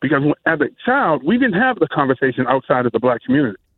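A man with an American accent talks at a very fast pace. His pitch is fairly high and his intonation lively. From Massachusetts. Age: 60s. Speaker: radio caller. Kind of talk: call-in comment.

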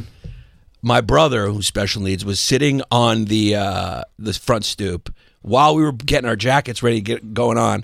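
A man with a New York accent, at a moderate pace with ordinary pitch variation. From Brooklyn, New York. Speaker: comedian. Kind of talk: casual chat.

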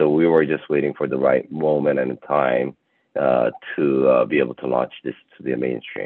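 A very deep, low male voice at a moderate pace, flat and monotone. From Korea. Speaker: media company founder. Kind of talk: interview. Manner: halting, many fillers.

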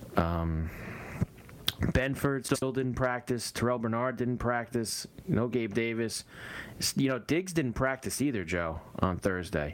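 A man with a normal speaking voice at medium pitch, lively intonation and very even loudness. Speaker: radio host. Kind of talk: live sports commentary and banter. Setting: radio studio.

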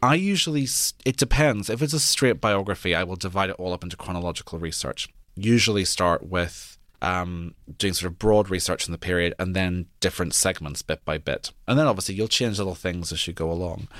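On a very clean recording with a silent background, a man with a Northern Irish accent talks at a fairly quick pace in a very deep, low pitch with ordinary pitch variation. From Northern Ireland, near Belfast. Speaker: historian and author. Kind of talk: interview.

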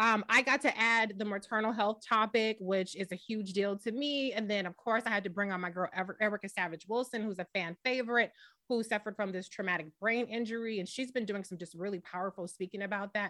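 The voice has a bright, sharp tone and an American accent, moving at a fairly quick pace with hardly any pauses. The recording is very clean, with a silent background. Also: woman. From Boston and Los Angeles. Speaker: media founder and fill-in radio host. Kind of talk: casual talk show interview.

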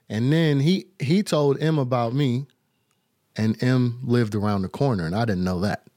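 Speaking in an American accent, a man uses lively intonation, a medium pitch, a dark, mellow tone, and a moderate pace. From Detroit and North Carolina. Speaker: hip-hop producer and rapper. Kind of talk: casual interview. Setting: remote link from Detroit.

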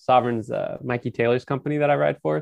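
Here is a man with an American accent and a plain, everyday voice. He talks at a medium pitch and a fairly quick pace. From Northern California. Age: 30s. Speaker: professional skateboarder and author. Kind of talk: casual chat.

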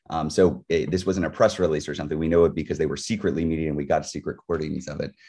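Very deep and low with vocal fry and a dark, mellow tone, a man speaks at a very fast pace with hardly any pauses and fairly even intonation. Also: quiet background. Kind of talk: rally speech. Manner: urgent, rousing call to action.

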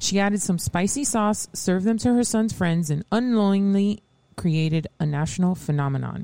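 A woman talks at a moderate pace and a medium pitch, with ordinary pitch variation and very even loudness. It is a plain, everyday voice. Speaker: co-host. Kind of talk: scripted reading of intros. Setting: radio studio.

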